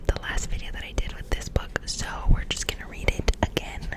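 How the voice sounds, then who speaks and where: A woman's whisper comes through noticeable background noise. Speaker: ASMR creator. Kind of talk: casual talk to camera. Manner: whispered.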